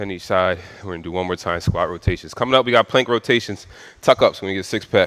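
Against a quiet background, a man talks very fast with fairly even intonation. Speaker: fitness instructor. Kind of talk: workout coaching. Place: gym.

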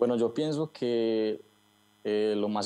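With a fairly low pitch and a dark, mellow tone, a man speaks at a fairly slow pace. The background is quiet. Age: 20s. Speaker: online store owner. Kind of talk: interview. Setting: video call. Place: shop. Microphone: earbuds.

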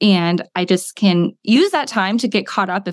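An American accent in a woman's ordinary speaking voice, ordinary pitch variation, and a very clean recording with a silent background. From US Midwest, small-town Ohio. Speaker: school psychologist and wellness coach. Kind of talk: casual interview chat.

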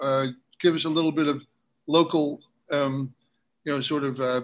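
Here a man speaks at a moderate pace with a fairly high pitch. His intonation is monotone and flat. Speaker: online show host. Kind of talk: live broadcast interview. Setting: cafe with small audience. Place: home room.

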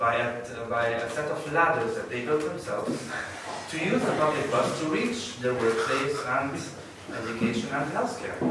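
A man speaks at a moderate pace with audible room echo. Loud background noise sits behind him. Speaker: conference speaker. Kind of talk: lecture. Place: hall.

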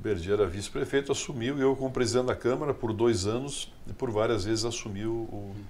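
Light background noise is present. Over it, a man speaks very fast. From southern Brazil, Rio Grande do Sul. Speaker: politician and businessman; politician. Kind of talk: interview. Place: studio. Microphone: studio mic.

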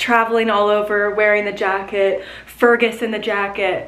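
A woman with a Virginia accent at medium pitch and a moderate pace, in monotone, flat intonation. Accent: American (Virginia). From Virginia, US (Gloucester). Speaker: lifestyle vlogger and podcaster; lifestyle vlogger, podcaster. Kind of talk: casual chatty vlog to camera. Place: home room. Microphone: phone near.

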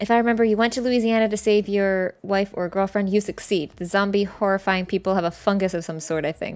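Hardly pausing, a woman talks at a very fast pace. Her voice sits at a medium pitch with fairly even intonation. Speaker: gaming streamer; game streamer. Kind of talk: casual chat. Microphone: studio mic.

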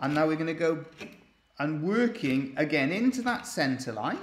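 Room echo is audible as a man talks at a fairly slow pace. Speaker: woodcarver demonstrating. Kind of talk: tutorial. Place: workshop.

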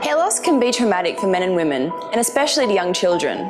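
A woman with an Australian accent speaks at a fairly quick pace. Clear music plays in the background. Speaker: TV presenter. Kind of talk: charity appeal narration. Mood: warm, empathetic. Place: shop.

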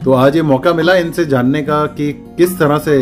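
Clear music plays in the background. The speaker goes at a fairly slow pace. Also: man. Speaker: interviewer, nephew of the guest. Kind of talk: interviewer talking to camera. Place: home room.

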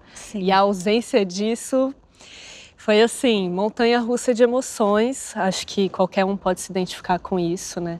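At a fairly slow pace, a woman speaks with ordinary pitch variation and big swings in loudness, the sound dry with no echo. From Brazil, Brasília; Brazil. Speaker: actress. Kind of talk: interview. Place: studio. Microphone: lapel.

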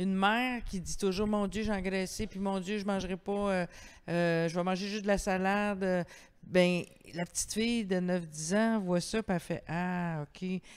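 A woman talks at a fairly slow pace in an unremarkable speaking voice. Her pitch is medium and her intonation fairly even. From Quebec. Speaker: event host and interviewer; event host, interviewer. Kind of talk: public author interview. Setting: library terrace, livestreamed event. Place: hall. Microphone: handheld.

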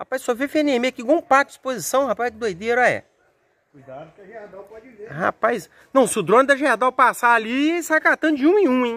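Moving at a fairly quick pace, a man speaks with an extremely high pitch, a bright, sharp tone, and big swings in loudness. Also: lively intonation. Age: 40s. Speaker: mechanic workshop owner, video host; video host. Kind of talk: casual workshop vlog; casual vlog chat. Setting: workshop. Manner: animated, joking. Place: open country. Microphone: phone near.

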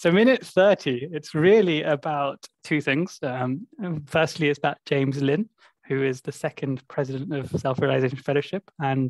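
The pace is moderate, with ordinary pitch variation. The background is quiet and the sound is dry with no echo. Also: man. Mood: relaxed, friendly. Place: home room. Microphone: video call.

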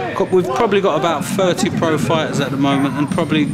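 A man talks at a fairly quick pace with ordinary pitch variation over loud background noise. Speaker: gym fighter or coach. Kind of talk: interview answer. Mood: proud, warm. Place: gym.

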